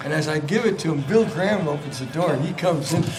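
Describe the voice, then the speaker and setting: A man with an American accent speaks with lively intonation. Audible room echo and noticeable background noise surround him. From San Francisco, US. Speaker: rock guitarist. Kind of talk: casual chat. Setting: radio studio. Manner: animated.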